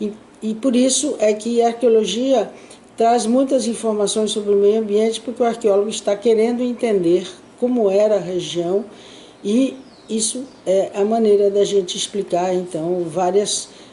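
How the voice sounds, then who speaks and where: A woman's fairly high voice with fairly even intonation at a moderate pace, over noticeable background noise. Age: 80s+. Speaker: archaeologist. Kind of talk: interview answer.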